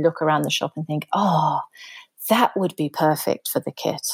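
A woman's fairly quick speech with a British accent, the sound dry and close with no echo. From Britain. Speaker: scrapbooker. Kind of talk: casual chat.

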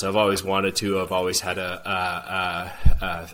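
A man's speech unfolds at a moderate pace while noticeable noise sits behind it. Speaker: hydroponics system maker and grower. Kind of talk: interview.

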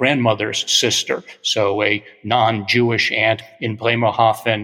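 A man with a medium-pitched voice talks while noticeable background noise carries on around him. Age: 60s. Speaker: art history professor. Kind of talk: interview.

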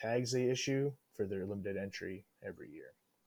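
A man with a Western Canadian accent on a very clean recording against a silent background. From Northwest British Columbia. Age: 30s. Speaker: hunter and drill mechanic. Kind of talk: casual chat.

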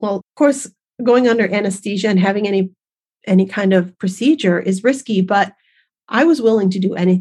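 This is a woman's voice, dark and mellow in tone. There is some breathiness to it. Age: 50s. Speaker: podcast host, massage therapist and nutritionist. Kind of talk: personal storytelling monologue. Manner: chatty.

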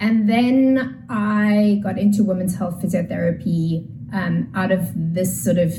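A woman at a very slow pace, with lively intonation and audible room echo. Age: 40s. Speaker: pelvic health physiotherapist. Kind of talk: explanatory interview talk.

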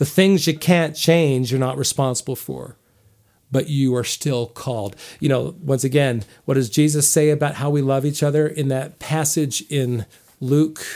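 In a plain, everyday voice, a man with an American accent talks at a moderate pace, his fairly high pitch held to fairly even intonation, on a very clean recording with a silent background. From US Northeast. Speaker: professor. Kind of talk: casual chat.

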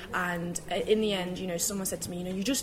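A woman speaks at a very fast pace. Noticeable background noise runs through the clip. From UK. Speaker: tea company co-founder. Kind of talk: casual interview. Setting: live event, moved indoors.

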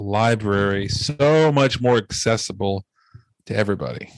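Talking at a moderate pace with ordinary pitch variation, a man has an ordinary speaking voice. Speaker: podcast host. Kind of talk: casual chat. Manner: casual, filler words.

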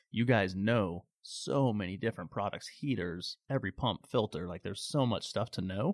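A man with an American accent uses a plain, everyday voice at a fairly low pitch and moderate pace, with ordinary pitch variation and hardly any pauses, on a very clean recording with a silent background and a dry, close sound with no echo. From Phoenix, Arizona. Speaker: pool equipment sales rep. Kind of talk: casual interview.

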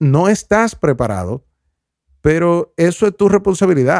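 The sound is dry and close, with no echo. The pitch moves in very wide swings. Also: man. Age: 20s. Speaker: podcast host. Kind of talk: reflective solo monologue. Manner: halting, many fillers and repetitions.

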